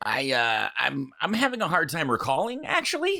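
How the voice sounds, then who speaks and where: A man uses a put-on character voice, pitched high and delivered at a fairly slow pace. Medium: comedy sketch. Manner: evasive, indignant.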